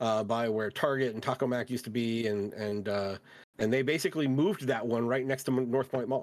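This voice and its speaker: A man's unremarkable speaking voice at medium pitch, fairly quick in pace, with fairly even intonation. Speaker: podcast host. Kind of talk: casual chat.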